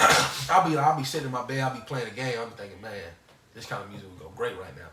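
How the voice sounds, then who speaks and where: A man talks at a medium pitch with ordinary pitch variation. Noticeable background noise and audible room echo can be heard. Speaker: podcast co-host. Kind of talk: casual chat.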